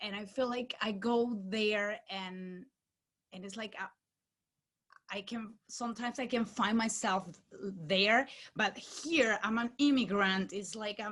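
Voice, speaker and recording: A woman's fairly high voice with a Venezuelan accent, ordinary pitch variation, a fairly slow pace, big swings in loudness and long, frequent pauses. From Venezuela, small town. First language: Spanish. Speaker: actress. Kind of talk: post-screening Q&A panel.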